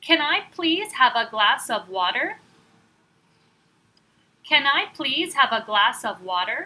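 A woman's raised, projected voice, high-pitched with a bright, sharp tone, in an American accent, at a very slow pace with very wide pitch swings and long, frequent pauses. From California. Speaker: English teacher. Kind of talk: language lesson phrase reading. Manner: slow, clear.

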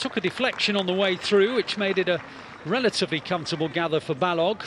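A man with a British accent talks at a high pitch with ordinary pitch variation. Noticeable background noise can be heard. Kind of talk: live football commentary. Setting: stadium match commentary.

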